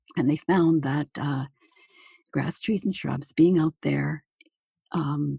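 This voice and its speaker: In a Canadian accent, a woman speaks with a very deep, low pitch and a dark, mellow tone that is somewhat breathy. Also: dry, close sound with no echo. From Manitoba, Canada. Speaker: retired nurse, author and speaker. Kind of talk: interview. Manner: hesitant, many fillers.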